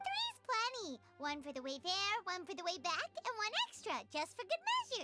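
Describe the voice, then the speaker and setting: A put-on character voice, squeaky and extremely high, bubbly in tone, at a moderate pace over loud music in the background. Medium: video game. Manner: bubbly, quick.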